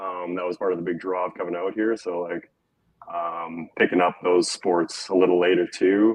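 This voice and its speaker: In a Western Canadian accent, a man speaks with a very deep, low pitch and monotone, flat intonation. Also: moderate pace. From Alberta, Canada. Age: 30s. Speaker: skier and former snowboard instructor. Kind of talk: casual interview. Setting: live stream.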